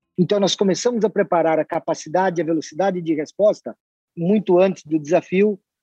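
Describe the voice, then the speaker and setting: With a dark, mellow tone, a man speaks high for his sex at a fairly quick pace, his pitch varying in an ordinary way, in a dry, close recording with no echo. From western Santa Catarina, Brazil. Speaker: company president. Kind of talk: interview.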